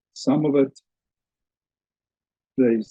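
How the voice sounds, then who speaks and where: Dry and close with no echo, a man's dark, mellow voice proceeds at a moderate pace. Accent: South African. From South Africa. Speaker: teacher. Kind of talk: lecture. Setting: webinar video call.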